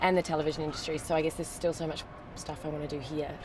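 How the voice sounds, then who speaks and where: The speech comes very fast in a flat monotone. Noticeable background noise runs underneath. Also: woman. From New Zealand. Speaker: television actress. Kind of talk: casual interview. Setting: in a car.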